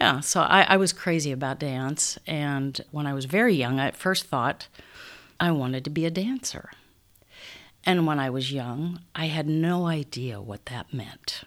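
In a Midwestern American accent, a woman with a very deep, low pitch speaks at a fairly slow pace with ordinary pitch variation. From Council Bluffs, Iowa. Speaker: stage actress. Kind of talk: interview conversation.

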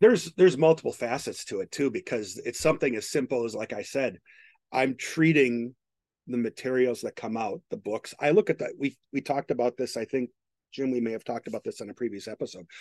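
In an unremarkable speaking voice, a man talks at a fairly quick pace with medium pitch and ordinary pitch variation, the sound dry and close with no echo against a quiet background. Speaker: podcast host, technology professional. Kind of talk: casual chat.

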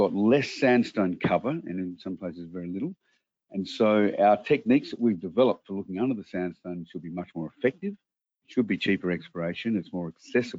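A man with an Australian accent speaks at a fairly quick pace and fairly low pitch. His loudness swings widely, while his pitch varies in an ordinary way. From Australia, Adelaide. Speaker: mining company executive. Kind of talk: interview.

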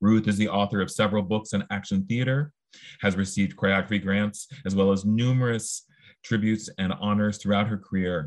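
Against a quiet background, a man talks at a fairly quick pace in a plain, everyday voice. His pitch is fairly low and his intonation fairly even. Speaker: podcast host. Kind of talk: interview conversation. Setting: video call.

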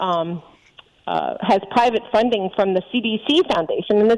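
A woman in a normal speaking voice, medium-pitched and moderately paced, with lively intonation and a dry, close sound with no echo. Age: 50s. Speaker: physician. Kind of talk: interview.

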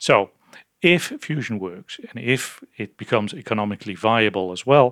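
A man with a Dutch accent speaks at a medium pitch on a very clean recording with a silent background and a dry, close sound with no echo. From Netherlands. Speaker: physicist and fusion project manager. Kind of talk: interview. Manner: halting with frequent fillers.

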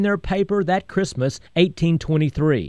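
Against a quiet background, a man speaks at a moderate pace. He has an American accent. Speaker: history storyteller and radio host. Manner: patriotic and promotional in the ad segment.

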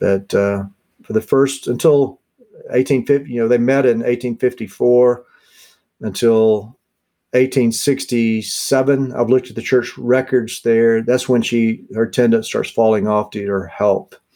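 Speaking with a dark, mellow tone, a man keeps fairly even intonation at a medium pitch and a fairly slow pace. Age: 50s. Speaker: author and historian on Spurgeon. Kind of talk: interview.

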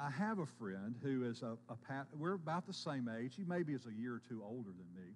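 Speaking at a fairly quick pace, a man keeps to a medium pitch. His intonation is lively. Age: 50s. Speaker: pastor. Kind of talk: sermon. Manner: halting.

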